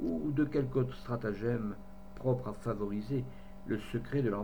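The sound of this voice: An unforced reading voice carries the passage. Its pitch shows ordinary variation.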